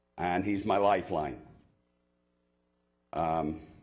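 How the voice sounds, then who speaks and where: Intonation stays fairly even here. The speaker is a man. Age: 70s. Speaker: war veteran speaking at public comment. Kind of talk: public comment testimony. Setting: county commission meeting chamber. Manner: halting.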